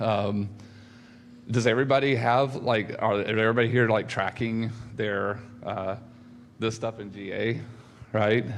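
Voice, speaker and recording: Audible room echo carries a man's medium-pitched, monotone, flat delivery at a moderate pace with long, frequent pauses. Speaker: conference speaker. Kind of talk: conference talk. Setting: stage with audience. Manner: halting, many fillers.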